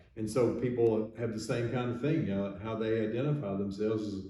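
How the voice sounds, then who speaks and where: This man has a fairly low voice and talks at a moderate pace with fairly even intonation. Noticeable background noise and audible room echo come through. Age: 60s. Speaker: physician, podcast host. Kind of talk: casual discussion.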